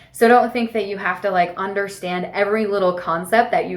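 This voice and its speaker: Audible room echo surrounds a woman with a medium pitch. Her intonation is fairly even. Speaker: spiritual mentor and podcast host. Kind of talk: casual monologue, book recommendations.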